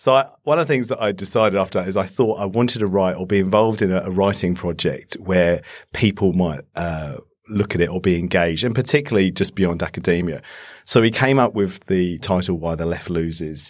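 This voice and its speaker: With a British accent, a man speaks at a fairly quick pace in a very deep, low pitch with ordinary variation, on a very clean recording with a silent background. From UK. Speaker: politics lecturer. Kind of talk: panel discussion. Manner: hesitant with fillers.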